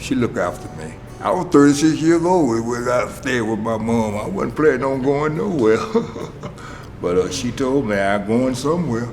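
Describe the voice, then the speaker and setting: A man's medium-pitched voice with lively intonation, audible room echo and music in the background. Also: moderate pace. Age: 70s. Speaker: former addict in recovery program. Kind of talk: testimony.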